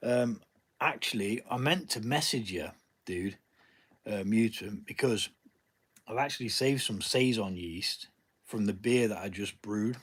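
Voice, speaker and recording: The speech moves at a fairly slow pace, broken by long, frequent pauses. Pitch varies in an ordinary way. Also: man, medium pitch for a man. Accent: English. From Nottingham, England. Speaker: home brewer. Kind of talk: live stream chat. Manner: casual, hesitant with fillers.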